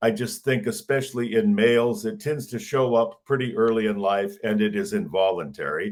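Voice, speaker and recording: A plain, everyday voice from a man with an American accent, medium pitch and lively intonation. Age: 60s. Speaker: pastoral counselor and author. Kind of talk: interview testimony.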